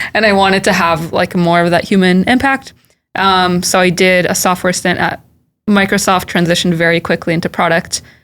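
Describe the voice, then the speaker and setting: With a Californian accent, a woman speaks at a medium pitch and a fairly quick pace, keeping very even loudness and fairly even intonation. The recording is very clean, with a silent background. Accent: General American, California. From US West Coast, Silicon Valley. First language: Hebrew. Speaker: tech product manager. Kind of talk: podcast interview.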